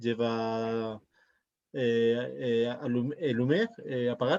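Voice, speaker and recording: With a Spanish accent, a man speaks very slowly at a medium pitch in a dark, mellow tone. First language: Spanish (speaking French). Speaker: interview organizer. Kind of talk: casual chat. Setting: video call. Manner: halting.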